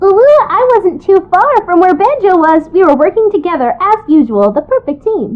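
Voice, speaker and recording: An extremely high, squeaky put-on character voice goes at a moderate pace with hardly any pauses. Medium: actual play.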